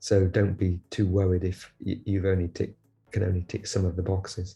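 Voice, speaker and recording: The voice is somewhat breathy, with monotone, flat intonation and a moderate pace. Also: man, very deep, low pitch for a man. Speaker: lab head, scientist. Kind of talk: advice talk to camera. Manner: halting, many repetitions and fillers.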